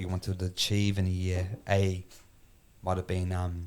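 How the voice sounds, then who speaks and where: With a very deep, low pitch, a man speaks at a moderate pace in monotone, flat intonation. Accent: New Zealand. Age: 30s. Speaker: podcast host. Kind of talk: casual chat.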